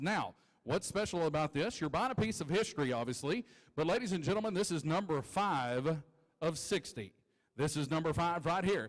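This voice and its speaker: Speaking at a moderate pace in an unremarkable speaking voice, a man with a fairly high pitch uses lively intonation and keeps his loudness very even. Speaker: auctioneer (championship finalist). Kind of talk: auctioneer spoken lot description and sales pitch. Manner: conversational, upbeat.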